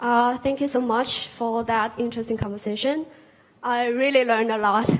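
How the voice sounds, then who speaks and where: A woman speaks with a Chinese accent in a high voice. Her intonation is monotone and flat. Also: moderate pace. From China, Hangzhou. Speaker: audience member, PhD graduate. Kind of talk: audience question. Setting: auditorium with audience.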